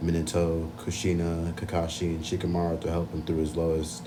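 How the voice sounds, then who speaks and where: In a room with audible echo, a man speaks at a fairly quick pace with a very deep, low pitch. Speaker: anime video essayist. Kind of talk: casual chat.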